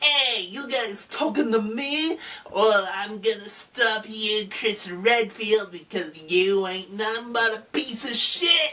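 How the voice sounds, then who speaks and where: Using a put-on character voice, a woman speaks at a fairly slow pace with a fairly high pitch. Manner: tough, belligerent.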